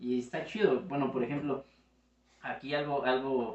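A man's voice at a medium pitch. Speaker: video editor. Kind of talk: casual chat.

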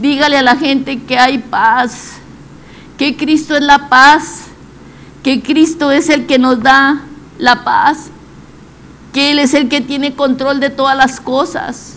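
Amid noticeable background noise and audible room echo, a woman with a high pitch speaks at a very slow pace with fairly even intonation and long, frequent pauses. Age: 70s. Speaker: lay preacher. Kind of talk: devotional sermon.

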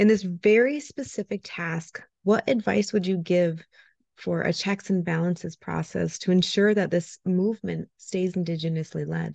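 A woman speaks in a plain, everyday voice, fairly low in pitch with ordinary pitch variation, at a moderate pace over a quiet background. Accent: American. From Ojibwe community, Upper Midwest. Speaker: podcast co-host. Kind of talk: interview conversation.

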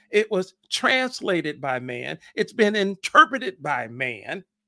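A man's high-pitched, bright and sharp voice, raised and projected, at a fairly slow pace, with a dry, close sound and no echo. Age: 60s. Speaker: pastor. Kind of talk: sermon. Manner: halting.

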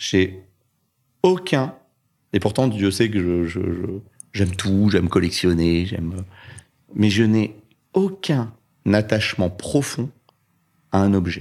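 In a very clean recording with a silent background, a man with a fairly low pitch speaks at a very slow pace, with ordinary pitch variation and long, frequent pauses. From Paris suburbs, France (Orly, Choisy-le-Roi). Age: 50s. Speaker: business owner, cancer survivor. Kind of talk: testimony.

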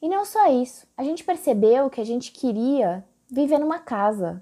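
Speaking with a strong São Paulo accent, a woman uses a high pitch and lively intonation. Her tone is dark and mellow. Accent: strong São Paulo accent, paulistano R. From Brazil, São Paulo. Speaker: podcast host and digital influencer. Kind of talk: solo podcast monologue.

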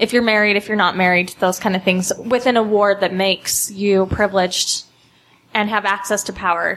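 A woman with a Utah accent speaks at medium pitch and a moderate pace in a monotone, flat intonation. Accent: Utah American. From Utah, West Valley. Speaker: panelist, feminist commentator. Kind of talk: panel discussion. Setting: studio with live audience.

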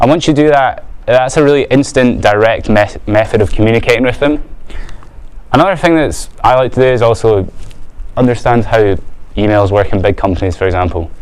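Against noticeable background noise, a man at medium pitch talks at a fairly quick pace with lively intonation and very even loudness. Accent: Edinburgh. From Scotland, Edinburgh. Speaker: business owner, guest speaker. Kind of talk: talk to a student audience.

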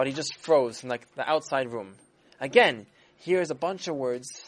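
Someone reads the text aloud in a natural voice.

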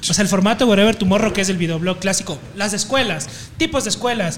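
Here a man talks at a very fast pace in a high pitch with ordinary pitch variation. Noticeable background noise is present. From Ecuador, Puyo (Amazon region). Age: 20s. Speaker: video editor and content creator. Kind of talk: casual chat. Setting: in a pub.

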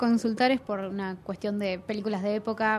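Over music in the background, a woman with an Argentine accent and a fairly high pitch speaks at a moderate pace with ordinary pitch variation. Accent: Argentine Spanish (Rioplatense). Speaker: podcast host, film critic. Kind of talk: interview.

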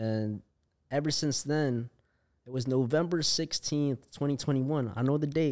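A man's plain, everyday voice, fairly high in pitch, with ordinary pitch variation, very even loudness and a fairly slow pace, on a very clean recording with a silent background. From Philippines, moved back and forth to US. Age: 20s. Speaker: musician, former nurse. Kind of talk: casual interview.

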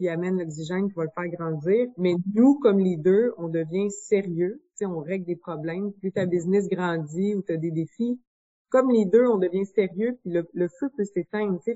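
At a fairly slow pace, a woman with a medium pitch uses ordinary pitch variation in an ordinary speaking voice. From Quebec, Bois-Francs region. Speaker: business founder. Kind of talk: interview.

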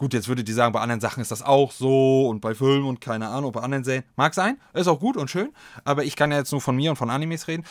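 Very fast speech from a man, pitch varying ordinarily, the recording very clean and the background silent. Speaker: podcast host. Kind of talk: casual solo chat. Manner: animated.

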